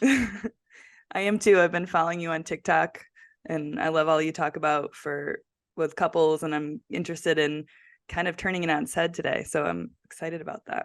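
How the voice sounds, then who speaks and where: A woman with a plain, everyday voice, fairly low in pitch, with ordinary pitch variation at a moderate pace over a quiet background. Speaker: podcast host. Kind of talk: casual podcast interview.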